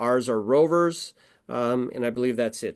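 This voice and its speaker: Against a quiet background, a man speaks with ordinary pitch variation, the sound dry and close with no echo. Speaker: motorsport event physician. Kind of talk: presentation with slides. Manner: fast; halting, many fillers.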